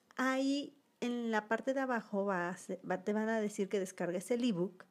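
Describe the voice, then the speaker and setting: A woman with a fairly high pitch and ordinary pitch variation speaks at a fairly slow pace. The recording is very clean, the background silent. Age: 30s. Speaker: branding designer and podcast host. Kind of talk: solo podcast monologue.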